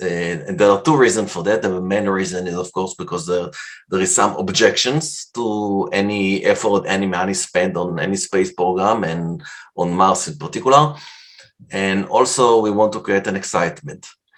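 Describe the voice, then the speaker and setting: Speaking with ordinary pitch variation at a moderate pace, the man's voice sits at a fairly low pitch. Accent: non-native. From Canada. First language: not English. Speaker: science fiction writer. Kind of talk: conference talk. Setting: virtual convention presentation. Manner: halting.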